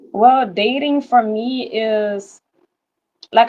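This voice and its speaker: A woman's fairly high pitch with ordinary pitch variation. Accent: Louisiana. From Louisiana. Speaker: caller. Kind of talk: casual chat.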